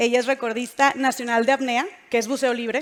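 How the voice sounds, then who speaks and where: A Monterrey accent at a fairly quick pace. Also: woman. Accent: Monterrey (norteño). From northern Mexico, Monterrey. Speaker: panel moderator and podcast host. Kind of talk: panel moderation at a live event. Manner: casual, animated.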